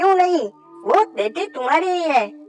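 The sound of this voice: A squeaky, cartoonish character voice talks at a moderate pace. Faint music plays in the background.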